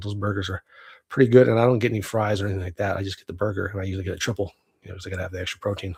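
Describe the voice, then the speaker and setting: Put on as a character, the raspy voice races along at a very fast pace with fairly even intonation. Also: man, fairly low pitch for a man. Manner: talking fast.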